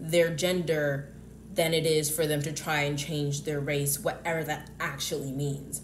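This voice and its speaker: A woman with an American accent and a very deep, low pitch keeps a fairly even intonation, with noticeable background noise and audible room echo. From US South. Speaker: YouTuber. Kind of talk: casual monologue vlog. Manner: halting, many fillers and restarts.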